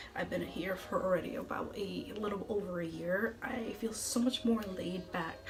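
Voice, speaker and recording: A woman with an American accent speaks amid audible room echo and background music. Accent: some think she has an. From central Massachusetts. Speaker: TV meteorologist. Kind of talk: casual vlog talk. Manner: fast.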